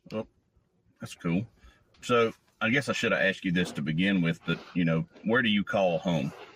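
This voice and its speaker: A man speaks at a fairly low pitch and a moderate pace, with ordinary pitch variation. He leaves long, frequent pauses. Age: 40s. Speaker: podcast host. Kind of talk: interview.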